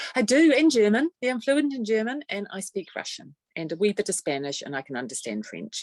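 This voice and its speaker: A fairly quick voice with a New Zealand accent, very wide pitch swings, big swings in loudness and hardly any pauses, in a dry, close sound with no echo. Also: woman. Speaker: trade association executive. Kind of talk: podcast interview.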